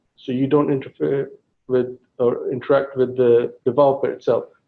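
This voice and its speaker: A man speaks with a slight English accent. His pitch is medium and his pace moderate. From England. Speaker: guest speaker, tech project manager. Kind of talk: Q&A talk at a meeting.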